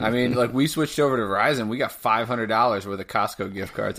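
This man has an unremarkable speaking voice. His pitch varies in an ordinary way. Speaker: podcast co-host. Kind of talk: casual banter about sports. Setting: remote recording over internet. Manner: profane, rant-like.

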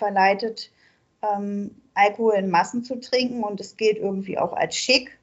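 A very slow pace with fairly even intonation. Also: woman. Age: 40s. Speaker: recovering alcoholic sharing her story. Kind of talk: interview. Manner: halting, many fillers.

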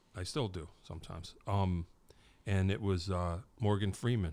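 On a very clean recording with a silent background, a man with a normal speaking voice talks at a fairly low pitch with ordinary pitch variation. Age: 50s. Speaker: podcast host. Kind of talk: casual interview. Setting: podcast studio.

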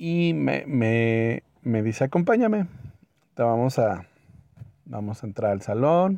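Speaking very slowly with long, frequent pauses, a man with a Mexican accent uses a medium pitch, very wide pitch swings, and a dark, mellow tone. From Mexico. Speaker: podcaster. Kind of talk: personal anecdote storytelling.

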